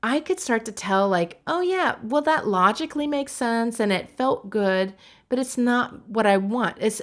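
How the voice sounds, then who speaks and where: A woman's plain, everyday voice, fairly high in pitch, with lively intonation, very even loudness, and a moderate pace, in a very clean recording with a silent background. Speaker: writing and human design coach. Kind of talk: casual address to course participants with guided breathing. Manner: relaxed, conversational with fillers.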